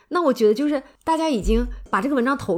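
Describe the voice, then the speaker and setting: A woman talks at a fairly quick pace with lively intonation. She has a normal speaking voice. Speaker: podcast co-host, humanities PhD. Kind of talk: casual chat.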